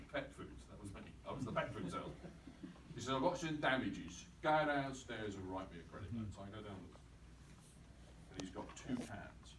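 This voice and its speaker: Room echo is audible as a man talks with an English accent. His pace is fairly quick and his intonation lively. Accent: received pronunciation. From England. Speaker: company chief executive. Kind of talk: talk with audience. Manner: animated.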